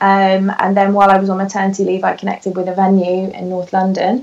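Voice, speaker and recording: Noticeable background noise runs under the clip. A woman talks at a fairly quick pace. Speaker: podcast guest, photographer and blogger. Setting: podcast interview. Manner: fast talker.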